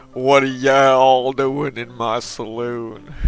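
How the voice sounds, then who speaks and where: In a put-on character voice, a man speaks fairly slowly at a medium pitch with monotone, flat intonation. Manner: straining to hold the character voice.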